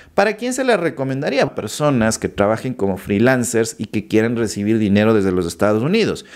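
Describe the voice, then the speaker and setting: Very wide pitch swings at a fairly quick pace. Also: man. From Ecuador. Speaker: YouTuber explaining finance apps. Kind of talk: tutorial. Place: home room. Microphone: studio mic.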